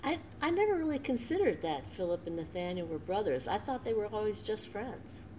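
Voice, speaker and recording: Talking with an American accent, a woman with a fairly high pitch moves at a fairly quick pace with very wide pitch swings. She leaves hardly any pauses, and there is light background noise. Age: 60s. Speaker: church co-leader; devotional host. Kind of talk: conversational devotional talk. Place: home room. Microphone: webcam.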